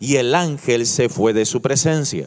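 The background is quiet. A man talks at a fairly slow pace. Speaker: pastor. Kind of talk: sermon. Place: church. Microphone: handheld.

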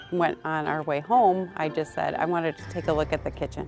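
Clear music plays behind a woman with a very deep, low pitch and ordinary pitch variation. She talks at a fairly quick pace, and the sound is dry with no echo. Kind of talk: interview answer. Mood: cheerful, laughing. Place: street. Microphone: lapel.

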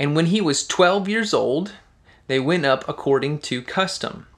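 A man talks at a fairly slow pace, and the background is quiet. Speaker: children's pastor. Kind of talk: Bible reading and explanation for kids. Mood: warm, gentle. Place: home room. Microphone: studio mic.

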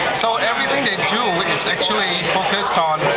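Loud background noise behind a man talking. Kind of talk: interview answer. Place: hall. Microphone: phone near.

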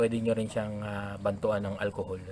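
The man's voice has a bright, sharp tone. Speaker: gamefowl breeder vlogger. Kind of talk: tutorial. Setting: outdoors at a poultry pen. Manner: halting, many fillers.

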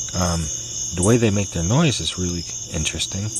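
The man talks at a moderate pace. There is noticeable background noise behind him. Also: dry sound with no echo. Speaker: nature videographer. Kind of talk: casual nature talk to camera. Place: garden. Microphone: phone near.

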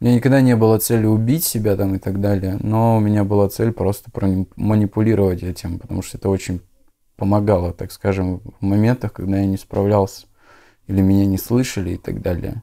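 A dark, mellow tone with fairly even intonation at a fairly quick pace, over a quiet background. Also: man, fairly low pitch for a man. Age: 20s. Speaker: former drug addict in recovery. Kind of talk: interview testimony. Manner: casual, slangy. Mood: calm, subdued confessional. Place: home room. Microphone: lapel.

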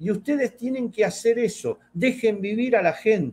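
At a fairly slow pace, a man speaks with an extremely high pitch. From Argentina. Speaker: fishing channel host. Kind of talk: casual chat. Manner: animated. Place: home room. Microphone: webcam.

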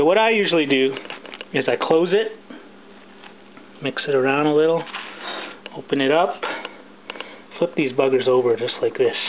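A man speaks at a medium pitch and a moderate pace, with ordinary pitch variation. His speech is broken by long, frequent pauses.

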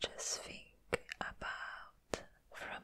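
A woman whispers in a gentle tone. Her pace is very slow. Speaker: ASMR creator. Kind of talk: ASMR roleplay, comforting personal attention with positive affirmations. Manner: soft, gentle, comforting. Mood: caring, reassuring. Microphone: studio mic.

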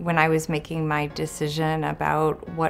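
A woman speaks over faint music in the background. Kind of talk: interview answer. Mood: warm, reflective. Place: office.

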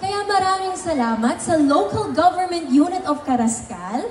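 A woman speaks with very wide pitch swings. Crowd noise and audible room echo surround her voice. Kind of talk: stage thank-you speech. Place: stage. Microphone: pa.

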